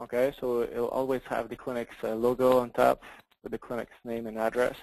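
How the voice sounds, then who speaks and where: With a French accent, a man speaks at a fairly quick pace in a medium pitch, his intonation monotone and flat. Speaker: software product demonstrator. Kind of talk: software demo in a webinar. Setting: webinar, online call. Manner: halting, many fillers and repeats.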